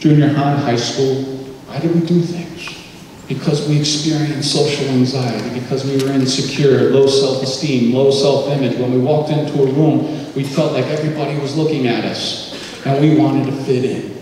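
Amid light background noise and strong room echo, a man speaks in a monotone, flat intonation at a moderate pace. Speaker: presenter. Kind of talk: lecture. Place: hall.

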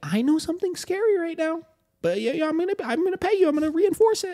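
A squeaky, put-on character voice runs at a fairly quick pace. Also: man, extremely high pitch for a man. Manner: soft, coaxing.

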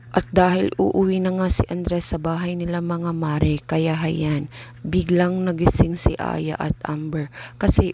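A woman's fairly low voice at a fairly slow pace, ordinary pitch variation, and noticeable background noise. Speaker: family vlogger. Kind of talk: vlog narration.

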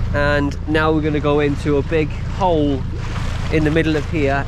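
Noticeable background noise runs under the voice. The sound is dry, with no echo. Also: man. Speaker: sailor vlogger. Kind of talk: casual vlog commentary. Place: boat. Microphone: phone near.

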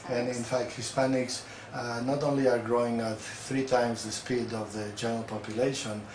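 A man's monotone, flat delivery at a moderate pace, with audible room echo and light background noise. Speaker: guest. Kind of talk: interview answer. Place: office. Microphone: camera far.

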